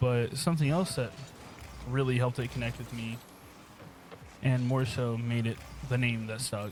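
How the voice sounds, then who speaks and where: A man with an American accent at medium pitch, moderate pace, fairly even intonation, and long, frequent pauses. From United States. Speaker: aspiring streamer and youtuber. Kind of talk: casual monologue over gameplay. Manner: rambling, hesitant with fillers.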